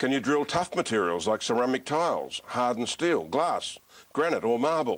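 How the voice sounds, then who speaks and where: The speaker has a normal speaking voice and talks at a moderate pace. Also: man. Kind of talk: TV infomercial presenter read.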